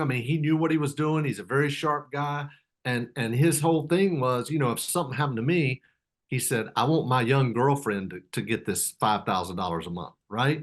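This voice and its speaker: Using a plain, everyday voice, a man talks fairly quickly at a fairly high pitch with lively intonation. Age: 60s. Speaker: real estate investor. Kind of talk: casual interview.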